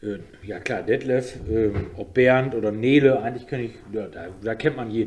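A man with an unremarkable speaking voice talks at a medium pitch and a moderate pace. His pitch varies in an ordinary way, while his loudness swings widely. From Osnabrück, northern Germany. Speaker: DJ. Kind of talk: casual chat.

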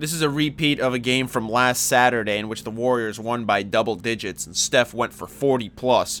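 With an energetic tone, a man of medium pitch talks at a moderate pace with ordinary pitch variation. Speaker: sports podcast host. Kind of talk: solo sports commentary podcast. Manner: casual, energetic.

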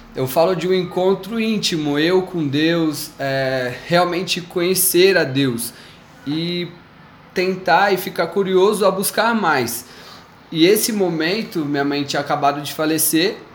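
Against noticeable background noise and audible room echo, a man with a high pitch talks at a fairly slow pace, leaving long, frequent pauses. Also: ordinary pitch variation. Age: 20s. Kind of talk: personal faith testimony in casual chat.

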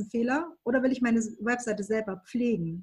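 The woman's voice is pitched fairly high. She keeps a moderate pace with ordinary pitch variation. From Baden-Württemberg, Germany. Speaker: graphic and web designer. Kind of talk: interview conversation.

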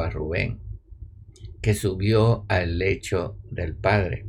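Vocal fry runs through a man's fairly low voice as he speaks very slowly. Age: 80s+. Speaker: spiritual teacher. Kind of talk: spiritual talk; online live stream.

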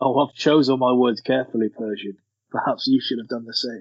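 Putting on a gravelly character voice, a man talks at a fairly quick pace and medium pitch. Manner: menacing, measured.

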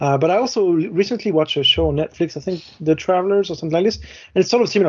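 This man talks with a French accent. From France. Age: late 30s. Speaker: podcast co-host, tabletop wargamer. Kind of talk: casual chat.

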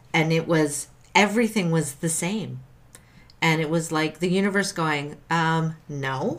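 A woman talks in a plain, everyday voice at a fairly slow pace. Her pitch sits fairly low, with ordinary variation. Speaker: podcast co-host and doula. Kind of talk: casual chat with a story read aloud.

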